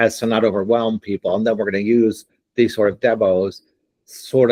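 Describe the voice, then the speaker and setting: A plain, everyday voice at a moderate pace, with a dry, close sound with no echo. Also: man. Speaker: platform founder demoing software. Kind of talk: live software demo on video call.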